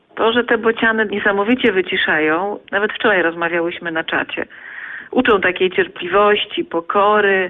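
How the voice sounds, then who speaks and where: A woman's medium-pitched voice with ordinary pitch variation at a moderate pace, over noticeable background noise. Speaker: stork webcam chat fan. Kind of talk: casual radio interview.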